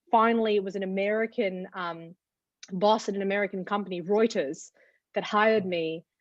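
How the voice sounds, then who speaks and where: A woman with an Australian accent, medium in pitch, fairly quick in pace, with fairly even intonation. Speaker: TV journalist. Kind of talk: interview.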